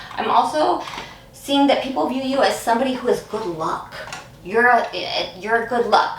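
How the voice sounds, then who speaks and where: Over noticeable background noise and audible room echo, a woman talks at a fairly quick pace. Her pitch sits fairly high. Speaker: tarot card reader. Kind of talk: pick-a-card tarot reading to camera. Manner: halting, many fillers and restarts.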